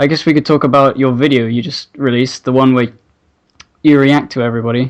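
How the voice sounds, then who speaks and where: Quietly and at a very fast pace, a man speaks at medium pitch with monotone, flat intonation. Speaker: podcast guest. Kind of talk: casual chat.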